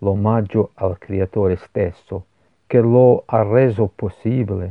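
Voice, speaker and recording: Speaking at a very slow pace, a man uses a fairly low pitch. His voice has ordinary pitch variation. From Scotland, Glasgow. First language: English (speaking Italian). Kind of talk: religious meditation. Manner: halting.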